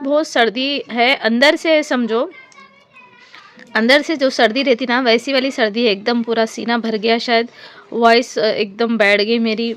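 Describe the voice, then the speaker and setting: A woman with a fairly high voice speaks at a fairly slow pace amid noticeable background noise. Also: ordinary pitch variation. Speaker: vlogger. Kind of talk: casual vlog narration.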